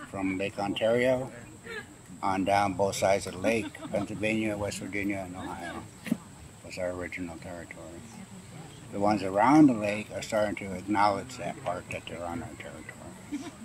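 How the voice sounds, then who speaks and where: Over noticeable background noise, a man with an American accent talks at a fairly quick pace and fairly low pitch, with ordinary pitch variation and big swings in loudness. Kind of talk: interview. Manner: halting, with repetitions.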